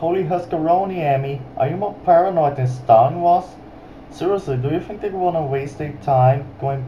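A man speaks at a moderate pace with ordinary pitch variation. Light background noise sits behind him. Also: fairly high pitch for a man. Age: young. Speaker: YouTube commentator. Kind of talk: commentary reaction video. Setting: webcam microphone. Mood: critical, mocking. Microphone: webcam.

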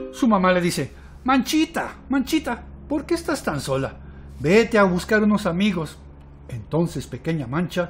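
A man with a warm, animated tone, a fairly slow pace and long, frequent pauses. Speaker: storyteller. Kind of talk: bedtime story telling for young children, with a hushed, intimate tale-spinner's cadence. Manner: warm, coaxing, addressing children directly with questions.

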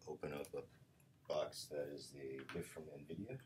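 Mumbling, a man speaks at a very deep, low pitch. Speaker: machine learning researcher. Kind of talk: casual unboxing talk to camera.

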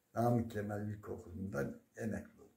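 Audible room echo surrounds a man with a fairly low pitch, a dark, mellow tone and vocal fry. He speaks at a moderate pace with fairly even intonation. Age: 70s. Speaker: retired primary school teacher. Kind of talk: interview; folk tale storytelling. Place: home room. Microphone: phone near.

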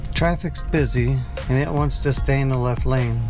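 Speech moves at a moderate pace while clear music plays in the background. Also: man. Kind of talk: casual commentary. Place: car. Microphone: lapel.

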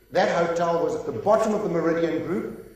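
Strong room echo carries a man's high-pitched voice with an enthusiastic tone. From South Africa. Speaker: sales and marketing speaker. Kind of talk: conference keynote speech. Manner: lively, enthusiastic, humorous. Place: stage.

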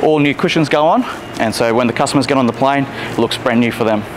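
A man talks fairly quickly while noticeable noise sits in the background. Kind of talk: interview answer. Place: factory.

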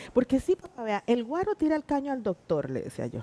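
Very wide pitch swings in a dark, mellow tone. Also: woman. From Costa Rica, Puntarenas; Costa Rica. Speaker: teacher and stage actress; teacher, stage actress. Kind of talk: interview. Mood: warm, animated storytelling. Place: studio. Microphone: headset.

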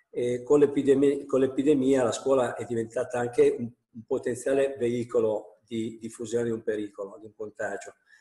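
Against a quiet background with audible room echo, a man with a dark, mellow, somewhat breathy tone speaks at a moderate pace in a monotone, flat intonation, with big swings in loudness. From Piedmont, Italy. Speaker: national president of school principals' association; panelist. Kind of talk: webinar talk. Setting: video call from home. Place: home room. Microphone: earbuds.

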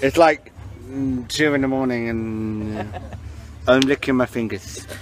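A man with an English accent talks at a fairly slow pace. There is noticeable background noise. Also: medium pitch for a man. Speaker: vlogger. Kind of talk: casual chat. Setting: outdoors. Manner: animated.

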